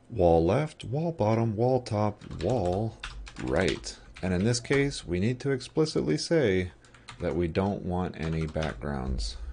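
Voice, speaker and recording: A man with a very deep, low pitch speaks at a very slow pace with very wide pitch swings over noticeable background noise. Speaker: game programming live streamer. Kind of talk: live coding stream. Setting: live stream.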